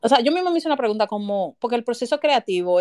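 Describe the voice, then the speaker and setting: In a Dominican accent, a woman with a fairly high pitch talks at a very fast pace, the sound dry and close with no echo. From Dominican Republic, Santo Domingo. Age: 30s. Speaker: writer. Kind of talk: casual chat. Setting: live audio space online.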